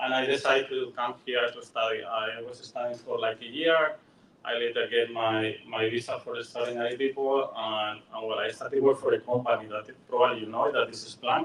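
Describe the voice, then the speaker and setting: Fairly quick, nearly pause-free speech with a Spanish accent, big swings in loudness and noticeable background noise. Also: man. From Spain, Madrid. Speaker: software engineer and business coach. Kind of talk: workshop presentation. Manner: hesitant, many fillers.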